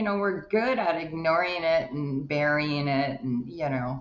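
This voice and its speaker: A woman speaks at a fairly slow pace with lively intonation and hardly any pauses, over noticeable background noise. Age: 60s. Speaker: life coach. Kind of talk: interview.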